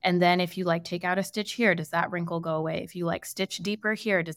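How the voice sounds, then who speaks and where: A woman speaks with a fairly low pitch in a very clean recording with a silent background. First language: Hindi. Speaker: clothing brand founder. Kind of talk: interview. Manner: halting, many fillers.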